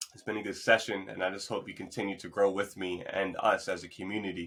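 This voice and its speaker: A man's voice, fairly low in pitch. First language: Spanish. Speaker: podcast host. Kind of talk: motivational monologue. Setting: remote podcast recording. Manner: fast.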